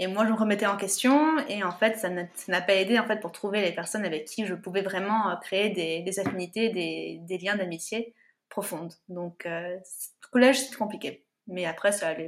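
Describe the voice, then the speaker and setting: An ordinary speaking voice from a woman, medium in pitch with ordinary pitch variation, at a moderate pace, with big swings in loudness. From France, Paris region (Yvelines). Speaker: natural contraception trainer. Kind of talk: interview conversation.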